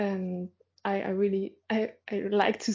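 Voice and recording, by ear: A woman's medium-pitched voice with a slightly mellow tone, a slightly husky edge and fairly even intonation.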